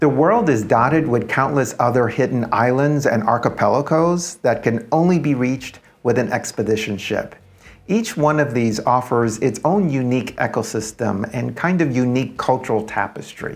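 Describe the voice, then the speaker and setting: Over faint music in the background, a man talks at a moderate pace with ordinary pitch variation and very even loudness. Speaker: travel channel host. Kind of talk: travel explainer to camera. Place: home room. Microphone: lapel.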